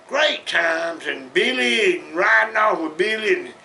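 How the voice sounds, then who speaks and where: A man in a Southern US accent speaks with a raised, projected voice at a fairly slow pace over noticeable background noise. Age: 70s. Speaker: storyteller. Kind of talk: casual storytelling. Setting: at home in den. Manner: folksy, halting.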